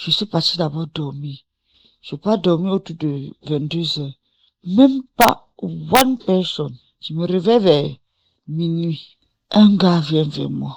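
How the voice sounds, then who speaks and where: Speaking at a very slow pace with long, frequent pauses, a woman uses lively intonation, big swings in loudness and a fairly low pitch. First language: English (speaking French). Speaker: testimony giver. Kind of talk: testimony. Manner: casual, code-switching.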